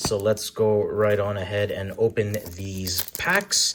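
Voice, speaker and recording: A man's fairly low voice with a Canadian accent over noticeable background noise. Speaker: card-opening youtuber. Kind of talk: casual unboxing commentary. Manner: chatty.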